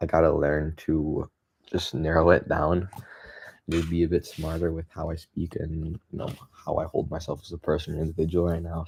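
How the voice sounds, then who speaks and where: A man speaks in a very deep, low voice, somewhat breathy. His intonation stays monotone and flat. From Canada. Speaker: graphic designer and content creator. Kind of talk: casual monologue vlog. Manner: halting, many fillers.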